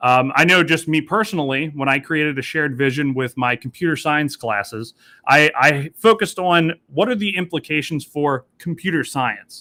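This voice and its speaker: A man's fairly high voice has a bright, sharp tone and ordinary pitch variation, running with hardly any pauses in a dry, close sound with no echo. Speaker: teacher leading professional development session. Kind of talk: online workshop facilitation. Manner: fast.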